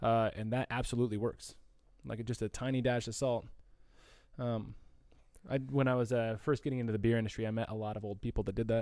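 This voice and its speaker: Despite long, frequent pauses, the delivery runs at a very fast pace, with fairly even intonation and a dark, mellow tone. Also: man, medium pitch for a man, very clean recording, silent background. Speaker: brewery co-host. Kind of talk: live stream chat.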